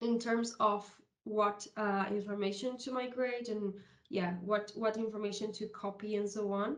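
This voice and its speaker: Speaking fairly slowly in a monotone, flat way, a woman with a medium pitch is heard with audible room echo. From South America. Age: 30s. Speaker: software consultant. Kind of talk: conference presentation. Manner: halting, with many fillers.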